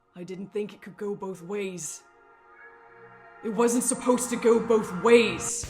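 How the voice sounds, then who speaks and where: Faint music plays in the background as a woman uses a put-on character voice, resonant and fairly high-pitched, at a fairly slow pace. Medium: actual play. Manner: urgent, halting.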